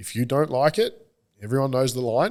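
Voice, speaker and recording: A man with an Australian accent, medium pitch and moderate pace, on a very clean recording with a silent background. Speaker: online political commentator. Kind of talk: podcast interview. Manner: speaks with conviction, forceful.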